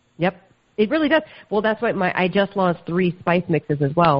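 An unremarkable speaking voice from a woman with an American accent, fairly low in pitch, with ordinary pitch variation. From US South. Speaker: food entrepreneur and podcaster. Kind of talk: interview.

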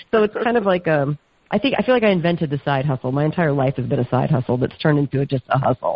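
Very fast, lively speech with very even loudness, in an American accent. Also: woman, very deep, low pitch for a woman. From US South. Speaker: food entrepreneur and podcaster. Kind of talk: interview.

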